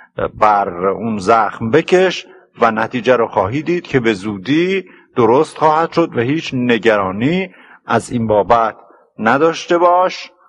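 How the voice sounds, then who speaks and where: Very wide pitch swings at a fairly slow pace. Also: man, medium pitch for a man. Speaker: literature professor. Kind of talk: lecture on classical poetry. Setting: old cassette recording. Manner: storyteller-like, plain and clear.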